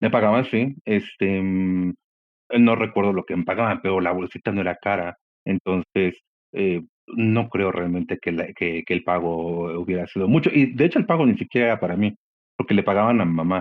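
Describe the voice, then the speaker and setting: At a moderate pace, a man with a Mexican accent talks at a fairly low pitch with ordinary pitch variation. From Mexico. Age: 40s. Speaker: podcast guest. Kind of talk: interview conversation. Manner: halting, many fillers.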